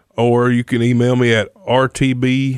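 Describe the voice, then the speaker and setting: This is a man with a Mississippi accent. His pitch sits in the medium range. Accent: US Southern (Mississippi). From Mississippi, North Jones County. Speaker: recovery ministry leader. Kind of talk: testimony.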